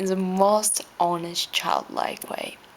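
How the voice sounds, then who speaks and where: A woman with a non-native accent, fairly low in pitch, fairly slow and fairly even, with noticeable background noise. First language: not English. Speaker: vlogger. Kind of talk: reading aloud with spontaneous asides.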